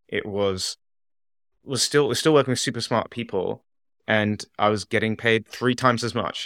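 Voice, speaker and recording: With an English accent, a man of medium pitch speaks at a moderate pace and with fairly even intonation, the recording very clean with a silent background and a dry, close sound with no echo. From England. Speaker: app founder. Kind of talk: interview.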